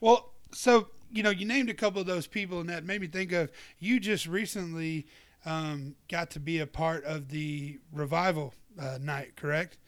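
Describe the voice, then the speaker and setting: In a very clean recording with a silent background, a man with a Southern US accent talks at a moderate pace and high pitch with ordinary pitch variation. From US South, Georgia. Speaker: podcast host. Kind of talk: show announcements monologue; casual interview chat.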